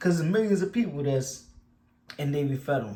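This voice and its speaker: A man with a Baltimore accent speaks in a somewhat breathy voice. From Baltimore, Maryland. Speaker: YouTuber. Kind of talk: casual commentary. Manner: animated.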